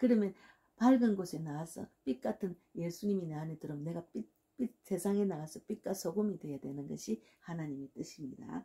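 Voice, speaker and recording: Her tone dark and mellow, a woman speaks at a fairly quick pace. Her voice is somewhat breathy, with lively intonation. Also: fairly low pitch for a woman. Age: 60s. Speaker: pastor. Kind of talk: sermon. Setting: at home.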